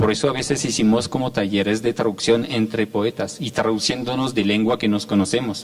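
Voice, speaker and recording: Noticeable background noise sits behind this man's voice. He talks at a fairly quick pace with medium pitch and fairly even intonation. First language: French (speaking Spanish). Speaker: poet and translator. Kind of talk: panel talk. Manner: halting.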